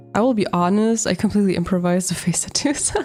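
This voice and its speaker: This woman talks with a German accent. Her pitch varies in an ordinary way. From Italian heritage, raised in Germany. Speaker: artist livestreamer. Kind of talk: casual livestream chat while drawing. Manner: casual, thinking aloud.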